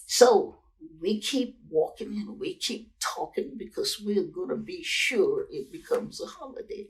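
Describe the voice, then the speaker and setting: Speaking fairly slowly with an American accent, a woman uses a high pitch, very wide pitch swings, and big swings in loudness. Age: 80s+. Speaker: educator and civil rights activist. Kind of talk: interview answer.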